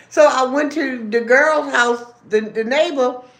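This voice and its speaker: With audible room echo behind her, a woman projects a raised voice in an animated tone. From Baltimore, Maryland. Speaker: livestreamer. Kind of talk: casual livestream chat. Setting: live stream while eating.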